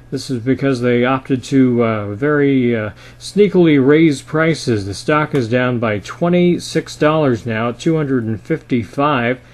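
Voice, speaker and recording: The speaker goes at a fairly slow pace with hardly any pauses, using ordinary pitch variation and big swings in loudness over noticeable background noise. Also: man, medium pitch for a man. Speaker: market commentator. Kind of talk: financial market commentary to camera. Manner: conversational, with frequent filler 'uh'.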